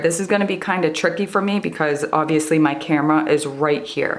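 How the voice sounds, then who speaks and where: Against noticeable background noise, a woman with fairly low pitch talks at a very fast pace. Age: 20s. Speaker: stained glass artist, YouTuber. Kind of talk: tutorial. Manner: animated.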